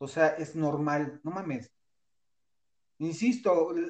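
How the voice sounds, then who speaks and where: The speaker talks at a very slow pace with a Mexican accent. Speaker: podcast co-host. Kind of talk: casual chat. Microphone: connection dropped briefly.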